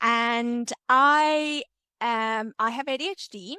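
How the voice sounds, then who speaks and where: The speaker has a South African accent and ordinary pitch variation. The sound is dry and close with no echo, on a very clean recording with a silent background. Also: woman. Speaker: entrepreneur and ADHD content creator. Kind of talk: podcast interview.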